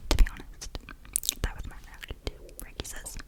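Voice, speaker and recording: A woman whispers at a fairly quick pace with noticeable background noise. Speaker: ASMR creator. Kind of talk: ASMR book reading. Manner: whispered, soft.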